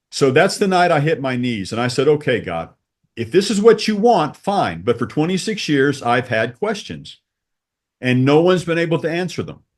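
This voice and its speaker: In a quiet background, a man with an American accent speaks at a moderate pace in a fairly high pitch, his voice showing vocal fry and very wide pitch swings. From Texas. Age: 60s. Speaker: church convert sharing faith story. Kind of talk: testimony.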